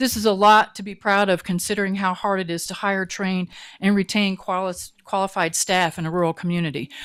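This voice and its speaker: Recorded very cleanly with a silent background, a woman with an ordinary speaking voice, an American accent and medium pitch speaks at a fairly quick pace with fairly even intonation. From Virginia. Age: 60s. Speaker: retired teacher giving public comment. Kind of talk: public comment at a meeting. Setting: county commission meeting.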